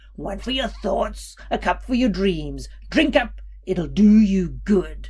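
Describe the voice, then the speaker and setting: A woman puts on a croaky, growling character voice at a medium pitch. She speaks at a fairly slow pace. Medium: read story. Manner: coaxing.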